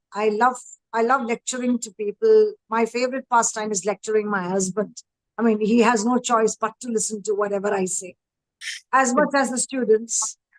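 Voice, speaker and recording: A woman with a Tamil accent speaks at a moderate pace in a fairly high pitch with fairly even intonation, in a dry, close sound with no echo. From northern India, Himachal Pradesh. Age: 50s. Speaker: educator and parenting coach. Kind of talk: panel discussion. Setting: live stream.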